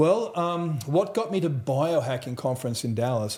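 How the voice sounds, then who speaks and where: A somewhat breathy voice with an Australian accent and a dark, mellow tone. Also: man. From central Australia. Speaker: trauma recovery expert. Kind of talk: interview testimony. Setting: live at a conference.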